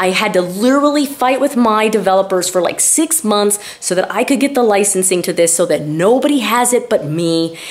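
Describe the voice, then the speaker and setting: Noticeable background noise surrounds a woman with a medium pitch and an animated tone. She keeps a fairly quick pace, lively intonation and very even loudness. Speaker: weight loss doctor and YouTuber. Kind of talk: casual vlog with sales pitch. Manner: fast.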